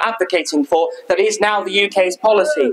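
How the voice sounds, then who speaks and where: The speaker is a man. He keeps a fairly quick pace, with ordinary pitch variation. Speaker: local councillor addressing a rally. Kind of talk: political rally speech. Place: street. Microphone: handheld.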